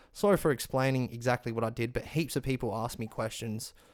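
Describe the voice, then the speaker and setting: A man at medium pitch and a fairly quick pace, intonation fairly even, in a very clean recording with a silent background. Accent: Australian. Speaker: music production tutorial maker. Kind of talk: tutorial. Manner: fast; casual.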